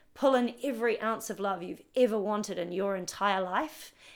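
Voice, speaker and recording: A woman with a New Zealand accent speaks at a fairly slow pace, with medium pitch and ordinary pitch variation. The recording is very clean, with a silent background. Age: 40s. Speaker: personal trainer. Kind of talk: casual interview conversation.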